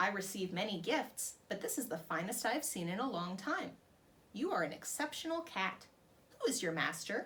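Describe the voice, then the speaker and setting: Using a put-on character voice, a woman speaks at medium pitch and a moderate pace. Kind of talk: regal. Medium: read story.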